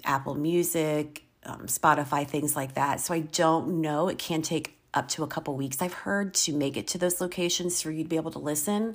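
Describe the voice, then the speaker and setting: The speaker has an American accent, barely pauses, and keeps a fairly even intonation. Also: woman, very deep, low pitch for a woman, moderate pace. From Virginia, US. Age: 50s. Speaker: podcaster and substitute teacher. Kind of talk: casual monologue.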